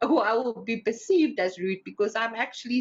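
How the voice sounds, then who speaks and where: The delivery is animated, with lively intonation. The pace is moderate. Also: woman. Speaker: spiritual teacher. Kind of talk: inspirational talk. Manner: loud.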